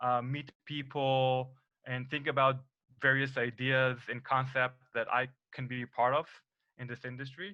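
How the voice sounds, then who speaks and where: Medium pitch from a man at a fairly slow pace. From Israel. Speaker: cannabis entrepreneur. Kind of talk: conference talk. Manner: hesitant, many fillers.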